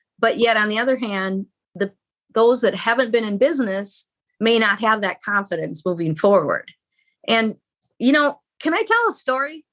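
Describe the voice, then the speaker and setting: A woman with a fairly high pitch and lively intonation, at a moderate pace with long, frequent pauses. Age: 60s. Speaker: marriage coach. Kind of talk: interview.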